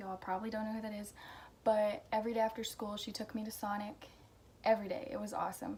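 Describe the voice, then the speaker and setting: A very fast, fairly high-pitched woman's voice with an American accent over noticeable background noise. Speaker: vlogger. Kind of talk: casual chat. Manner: casual, hesitant with fillers.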